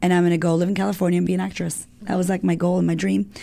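At a very fast pace, a woman talks in a fairly low pitch with a dark, mellow tone. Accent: American. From US, Massachusetts. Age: 30s. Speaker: army veteran and life coach. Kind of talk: interview testimony. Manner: animated.

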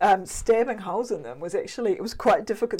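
A woman speaks at a very fast pace with a fairly high pitch and lively intonation on a very clean recording with a silent background. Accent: New Zealand. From New Zealand West Coast. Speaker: artist. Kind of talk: interview. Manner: halting.

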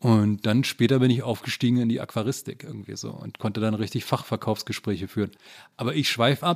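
A man talks in a plain, everyday voice at a fairly quick pace with ordinary pitch variation, in a very clean recording with a silent background. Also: medium pitch for a man. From eastern Germany, Frankfurt (Oder). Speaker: journalist and author. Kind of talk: casual interview conversation.

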